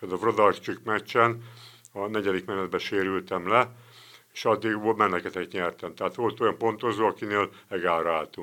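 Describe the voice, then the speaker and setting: Fairly low in pitch with a bright, sharp tone, a man speaks at a moderate pace with fairly even intonation. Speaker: retired boxer and club president. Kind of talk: interview. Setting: studio.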